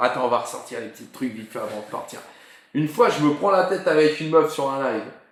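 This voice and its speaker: A man's fairly high-pitched, animated voice with lively intonation, plus noticeable background noise and audible room echo. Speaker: football YouTube live host. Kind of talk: casual live stream chat.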